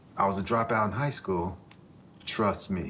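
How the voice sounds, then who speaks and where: Over noticeable background noise, a man speaks at a moderate pace in a fairly low pitch. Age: 50s. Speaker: author and former football player. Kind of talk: podcast interview. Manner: halting.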